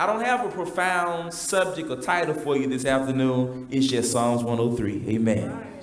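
A man talks at a fairly slow pace with lively intonation. There is audible room echo. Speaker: preacher. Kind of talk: sermon. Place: church.

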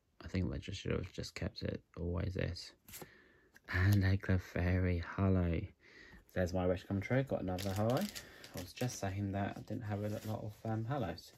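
A British accent at a moderate pace, with light background noise. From UK. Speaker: YouTuber opening trading card packs. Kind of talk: casual vlog narration. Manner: hesitant, many fillers. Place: home room. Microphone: phone near.

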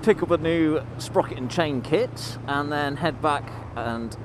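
A man speaks with ordinary pitch variation in a dry recording with no echo and noticeable background noise. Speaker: motorcycle vlogger. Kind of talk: casual vlog chat. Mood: relaxed, slightly amused. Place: motorbike. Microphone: helmet.

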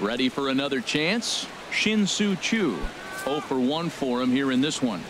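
Amid noticeable background noise, a fairly high-pitched man speaks at a moderate pace with very wide pitch swings. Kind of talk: live sports commentary. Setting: game broadcast audio.

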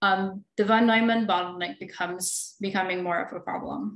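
The voice has ordinary pitch variation and audible room echo. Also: woman. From Philippines. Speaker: computer engineering researcher and lecturer; presenter. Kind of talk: technical lecture. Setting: webinar video call. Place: home room. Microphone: webcam.

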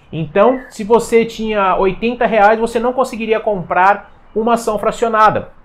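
A man with a Brazilian accent, high in pitch, at a fairly slow pace. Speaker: finance YouTuber. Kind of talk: explainer video. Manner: casual, energetic. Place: home room. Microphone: lapel.

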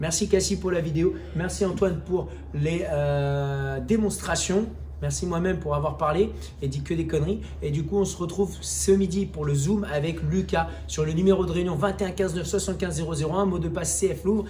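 With light background noise present, a man talks at a moderate pace. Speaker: fitness coach. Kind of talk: workout tutorial. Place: gym. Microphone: camera far.

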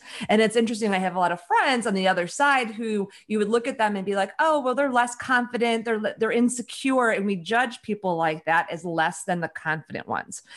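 A woman with an American accent and a fairly high pitch speaks at a fairly quick pace with hardly any pauses, over a quiet background. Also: lively intonation. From US Midwest, Chicago. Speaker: author and women's leadership advisor; podcast guest. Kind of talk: casual interview chat. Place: home room. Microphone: studio mic.

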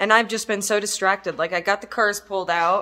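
A woman's bright, sharp-toned voice against a quiet background. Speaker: car hobbyist vlogger. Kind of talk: casual vlog chat. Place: garage. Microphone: phone near.

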